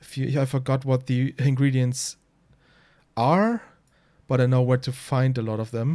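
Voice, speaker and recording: A man's dark, mellow voice at medium pitch, fairly slow and monotone with flat intonation, in a German accent. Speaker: speedrunner. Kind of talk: tutorial. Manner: halting.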